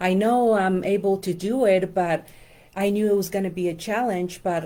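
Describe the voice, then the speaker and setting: On a very clean recording with a silent background, a woman with a Spanish accent speaks at a medium pitch with a dark, mellow tone and fairly even intonation. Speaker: life coach and numerologist. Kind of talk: casual instructional talk to camera. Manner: hesitant with many fillers.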